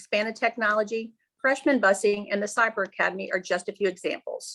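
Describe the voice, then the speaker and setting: A woman with a Midwestern US accent talks at a fairly high pitch. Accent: US Midwest. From Cincinnati, Ohio. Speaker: school board member running for re-election. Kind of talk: candidate opening statement. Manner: formal.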